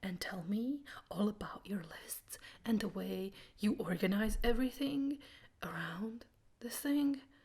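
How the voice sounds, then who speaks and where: Speaking at a fairly slow pace, the voice is somewhat breathy, with lively intonation, big swings in loudness, and long, frequent pauses. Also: woman, fairly high pitch for a woman. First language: Croatian. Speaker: booktuber. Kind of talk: casual vlog monologue.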